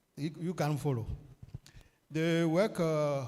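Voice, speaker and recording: A man with a Beninese accent speaks at a fairly slow pace, with a dark, mellow tone, fairly high pitch for a man, and fairly even intonation. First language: French. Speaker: food technologist. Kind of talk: conference presentation. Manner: halting.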